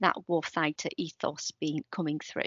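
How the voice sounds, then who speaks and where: In a quiet background with a dry sound and no echo, a woman uses a normal speaking voice at a fairly low pitch and a moderate pace. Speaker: conference presenter. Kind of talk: lecture. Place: home room. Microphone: webcam.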